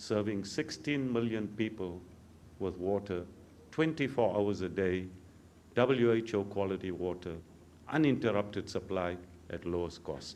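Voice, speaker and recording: Audible room echo surrounds a man who speaks at a fairly slow pace with long, frequent pauses. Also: fairly low pitch for a man, ordinary pitch variation. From South Africa. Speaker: water utility expert. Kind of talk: conference welcome speech.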